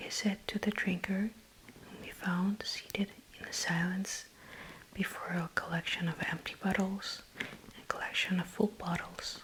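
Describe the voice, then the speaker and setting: Fairly slow whispering from a woman amid noticeable background noise. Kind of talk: ASMR book reading, bedtime story. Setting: close microphone, headphones, page flipping sounds. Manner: soft, slow narration.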